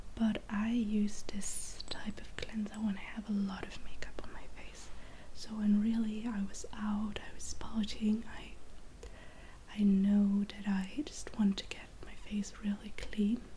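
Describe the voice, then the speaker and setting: Over noticeable background noise, a soft-spoken woman with a medium pitch talks fairly slowly in a flat, monotone way. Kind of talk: ASMR skincare ramble.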